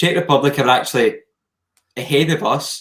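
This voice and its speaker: With a Scottish accent, a man speaks in fairly even intonation. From Scotland. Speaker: podcast co-host. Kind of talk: casual chat.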